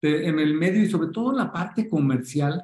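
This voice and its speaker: A man's somewhat breathy voice. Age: 40s. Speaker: football club marketing director. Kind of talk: interview. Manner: halting.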